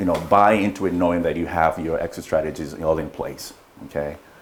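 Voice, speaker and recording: A man's very deep, low voice at a very fast pace, with fairly even intonation, over noticeable background noise. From Kenya. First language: not English. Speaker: real estate investor and broker. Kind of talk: training presentation. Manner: halting, searches for words.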